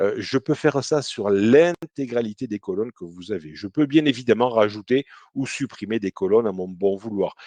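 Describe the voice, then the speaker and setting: Lively intonation and a dark, mellow tone mark this moderately paced voice with a Toulouse accent, recorded dry and close with no echo. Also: man, medium pitch for a man. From southern France, Toulouse. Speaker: CRM consultant. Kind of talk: software demo webinar. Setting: live online webinar. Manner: hesitant, many fillers.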